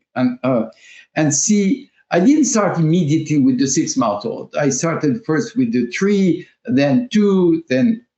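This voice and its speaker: A man talks at a fairly slow pace with a French accent. His fairly high pitch moves in very wide swings. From France. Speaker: language teacher and school founder. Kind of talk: interview. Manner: halting, many fillers.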